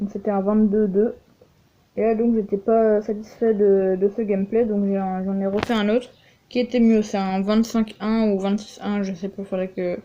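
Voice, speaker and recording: Her tone dark and mellow, a woman talks at medium pitch and a moderate pace in a monotone, flat intonation. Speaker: gaming youtuber. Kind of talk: gameplay commentary. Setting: voice-over on game footage, game sound cut. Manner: hesitant, many filler words.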